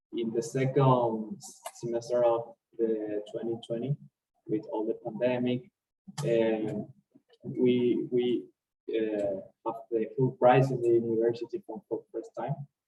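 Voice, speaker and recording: This man's dark, mellow voice sits at a medium pitch and sounds somewhat breathy, moving at a fairly slow pace with fairly even intonation but big swings in loudness. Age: 20s. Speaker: university graduate, startup co-founder. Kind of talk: interview. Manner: halting.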